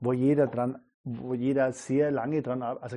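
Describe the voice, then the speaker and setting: Speaking at a fairly slow pace, a man with a medium pitch uses a dark, mellow tone and flat, monotone intonation. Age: 30s. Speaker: jazz and entertainment musician. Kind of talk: interview conversation. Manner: halting, many repetitions.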